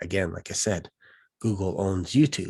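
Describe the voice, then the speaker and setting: A man speaks at a fairly low pitch. The recording is very clean, with a silent background. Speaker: online business coach. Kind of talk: monologue. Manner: fast; animated.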